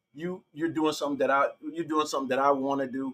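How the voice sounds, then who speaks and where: A man rattles along at a very fast pace in a bright, sharp tone. His intonation stays fairly even. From Detroit. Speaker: podcast host. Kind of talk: interview.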